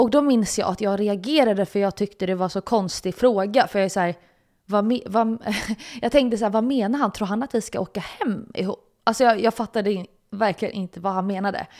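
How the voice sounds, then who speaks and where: Speaking at a fairly quick pace, a woman with a medium pitch, ordinary pitch variation and an unremarkable speaking voice is heard in a very clean recording with a silent background. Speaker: podcast host. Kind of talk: personal storytelling monologue. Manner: casual, filler-heavy.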